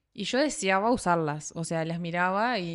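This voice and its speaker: A Uruguayan accent in a very clean recording against a silent background. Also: woman. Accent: Uruguayan Rioplatense Spanish. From Uruguay, Salto. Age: 30s. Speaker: podcast host. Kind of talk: scripted narration; casual chat.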